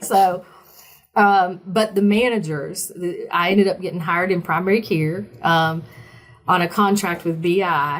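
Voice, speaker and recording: Speaking with a Southern US accent, a woman talks at a fairly slow pace in a medium-pitched voice. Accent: Southern US accent, less thick than before. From small-town Virginia. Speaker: oncology sales representative, former nurse. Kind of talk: interview. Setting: podcast. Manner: animated.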